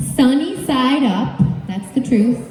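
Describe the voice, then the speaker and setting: Heard through noticeable background noise and audible room echo, a woman speaks very slowly with lively intonation. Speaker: yoga teacher and storytelling speaker. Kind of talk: storytelling speech read aloud to a live audience. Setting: stage with audience. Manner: loud.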